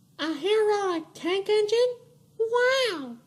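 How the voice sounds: A cartoonish character voice, squeaky and extremely high in pitch.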